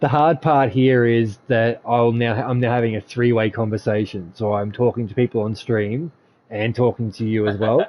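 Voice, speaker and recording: A male speaker with a medium pitch talks at a moderate pace, his intonation fairly even. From Australia. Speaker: gaming streamer. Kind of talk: casual chat. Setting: live stream voice chat. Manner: talkative.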